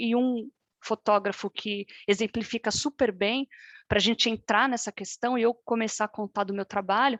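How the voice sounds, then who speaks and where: Fairly high female speech at a medium speed, its intonation fairly even. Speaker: fine art photographer and artist. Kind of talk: online workshop presentation. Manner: halting, many repetitions.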